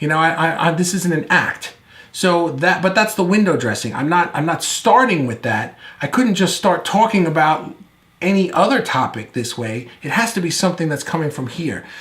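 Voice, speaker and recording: A man speaks loudly in a high pitch with an animated tone. His intonation is lively, and audible room echo fills the recording. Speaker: video marketing coach. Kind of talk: online course lecture. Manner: fast; loud, animated.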